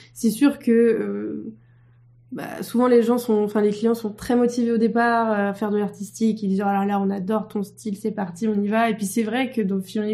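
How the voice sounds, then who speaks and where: A woman speaks in a dark, mellow tone at medium pitch and moderate pace, her intonation monotone and flat. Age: 20s. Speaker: motion designer, studio co-founder. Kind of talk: casual interview.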